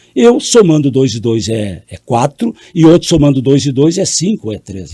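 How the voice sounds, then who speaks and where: In a dry, close recording with no echo, a man's dark, mellow voice swings very widely in pitch. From Brazil, Rio Grande do Sul. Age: 70s. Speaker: politician, mayor. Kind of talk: interview.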